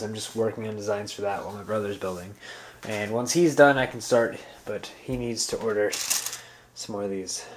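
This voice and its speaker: With light background noise, a man with an unremarkable speaking voice talks at a moderate pace, fairly low in pitch, with fairly even intonation. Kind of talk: casual vlog chat. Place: home room. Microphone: phone near.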